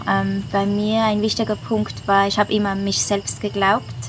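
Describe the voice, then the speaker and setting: The speaker's intonation is lively. Background noise is noticeable. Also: woman. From Switzerland. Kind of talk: casual interview.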